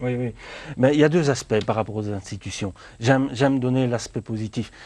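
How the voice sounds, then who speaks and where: Moderately paced male speech at a medium pitch, its variation ordinary. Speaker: job trainee. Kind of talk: TV interview. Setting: TV studio. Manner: halting.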